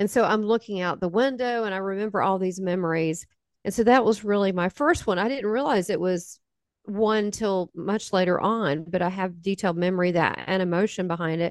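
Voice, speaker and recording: A woman with a Southern US accent, medium-pitched, fairly quick, with ordinary pitch variation. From US South. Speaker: spiritual medium. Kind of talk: interview testimony.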